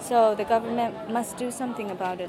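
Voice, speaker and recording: The speaker has a Japanese accent and ordinary pitch variation. Crowd noise and audible room echo fill the background. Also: woman. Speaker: university student and former translator. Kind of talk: interview.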